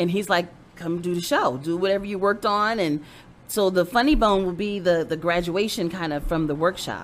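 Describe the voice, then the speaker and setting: An unremarkable speaking voice, a woman's, fairly low in pitch, runs at a fairly quick pace with ordinary pitch variation. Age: 40s. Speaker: comedian. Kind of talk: casual chat.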